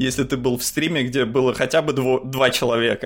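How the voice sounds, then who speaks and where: A man talks at a moderate pace. His voice has vocal fry. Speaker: podcast co-host. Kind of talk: casual chat.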